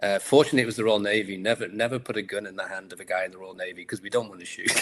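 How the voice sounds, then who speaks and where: Speaking at a very fast pace over noticeable background noise, a man with a fairly low pitch and fairly even intonation shows big swings in loudness. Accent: Liverpool. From England, Liverpool. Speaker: entrepreneur and author. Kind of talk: interview.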